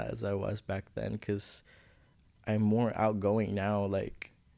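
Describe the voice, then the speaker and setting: A man with a Filipino accent, fairly low pitch, a dark, mellow tone and flat, monotone intonation, on a very clean recording with a silent background. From Philippines. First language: Visayan. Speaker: college student. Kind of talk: podcast interview. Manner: halting.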